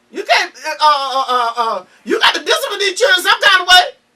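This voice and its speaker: Her voice raised and projected, a woman speaks at a moderate pace with a bright, sharp, animated tone and very wide pitch swings. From US South, Georgia. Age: 70s. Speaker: cook and candy maker. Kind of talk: casual chat. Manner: animated, repetitive stammering.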